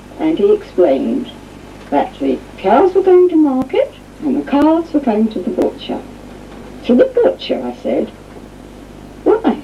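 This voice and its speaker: Amid noticeable background noise, the talking proceeds at a fairly slow pace with long, frequent pauses. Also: woman. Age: 60s. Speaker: chair of a vegan society council. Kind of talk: testimony.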